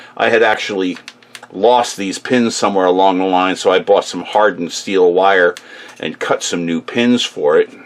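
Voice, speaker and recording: A man speaks at a moderate pace with a fairly low pitch. His intonation stays fairly even over noticeable background noise. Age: 60s. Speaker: tool and repair how-to video maker. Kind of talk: tutorial. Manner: casual, with many fillers.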